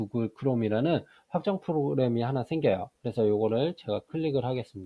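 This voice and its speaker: An unremarkable speaking voice from a man, medium in pitch with lively intonation. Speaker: math teacher giving software tutorials. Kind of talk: screen-recorded tutorial.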